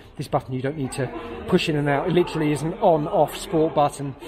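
A man speaks with fairly even intonation. There is noticeable background noise behind him. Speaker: scooter reviewer. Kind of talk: casual product review walkthrough. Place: shop. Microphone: phone near.

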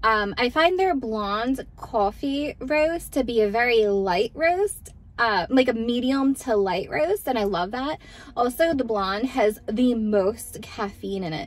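A woman's high voice with an American accent, very slow, lively in intonation, dry with no echo, music in the background. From Texas. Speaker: vlogger. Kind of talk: casual talk to camera. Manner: soft-spoken, chatty. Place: car. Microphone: phone near.

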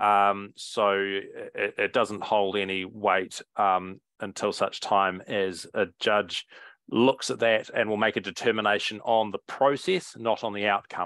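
A man with a New Zealand accent talks fairly slowly with hardly any pauses. His fairly low voice has fairly even intonation, and the sound is dry with no echo. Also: quiet background. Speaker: councillor. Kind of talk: council meeting questions. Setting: council meeting room. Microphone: headset.

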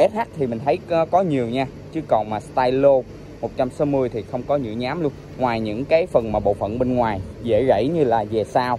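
Speaking at a moderate pace with ordinary pitch variation, a man is heard in a dry recording with no echo and light background noise. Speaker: scooter reviewer. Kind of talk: product walkaround commentary. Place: street. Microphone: phone near.

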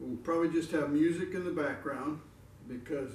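The voice belongs to a man. Audible room echo and light background noise come through. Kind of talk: casual vlog chat. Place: home room.

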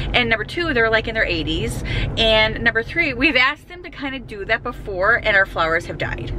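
A woman at a very fast pace, dry sound with no echo, and noticeable background noise. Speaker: vlogger. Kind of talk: casual vlog chat. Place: car.

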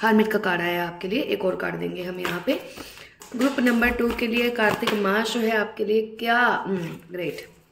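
A woman's fairly bright voice at medium pitch, with vocal fry, ordinary pitch variation and a moderate pace.

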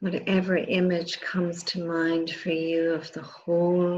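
Against light background noise, a woman speaks at a fairly low pitch in a calm, soothing tone with monotone, flat intonation. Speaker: meditation teacher. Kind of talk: guided meditation. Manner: slow, soft-spoken, calm and soothing. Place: home room.

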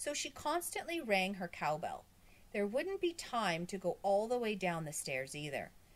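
Simply plain reading aloud

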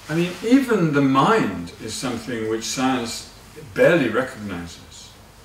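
A man's voice, with very wide pitch swings and big swings in loudness, moves at a moderate pace amid audible room echo and light background noise. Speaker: Buddhist teacher. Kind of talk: lecture.

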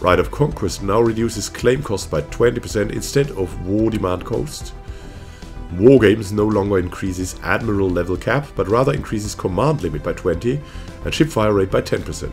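The pace is fairly quick, with ordinary pitch variation. Music sounds in the background. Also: man, fairly low pitch for a man. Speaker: gaming YouTuber. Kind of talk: patch notes reading.

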